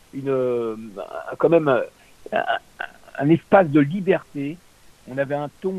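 Over noticeable background noise, a man with a fairly high pitch talks at a very slow pace, the sound dry and close with no echo. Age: 60s. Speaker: former radio host and radio consultant. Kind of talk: interview. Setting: on air, radio. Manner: halting.

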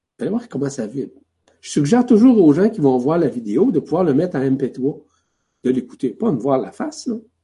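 A man's voice sits fairly high, somewhat breathy, with a dark, mellow tone. His pitch swings very widely. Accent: Quebec. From Quebec. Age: 60s. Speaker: spiritual teacher. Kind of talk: spiritual teaching.

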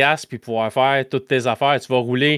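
On a very clean recording with a silent background and a dry, close sound with no echo, a man speaks at a moderate pace in an unremarkable speaking voice with a fairly high pitch. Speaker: podcast host guest from another gaming show. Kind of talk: casual chat.

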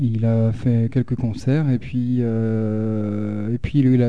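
A man's voice with a dark, mellow tone. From France, Haute-Loire. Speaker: bassist and singer in a rock-electro band. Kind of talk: casual radio interview.

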